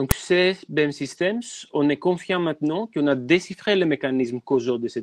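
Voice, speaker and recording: In a dry, close sound with no echo and a quiet background, a man with a non-native accent speaks at a fairly high pitch and a moderate pace with ordinary pitch variation. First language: not French (speaking French). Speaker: biomedical researcher. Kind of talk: webinar presentation.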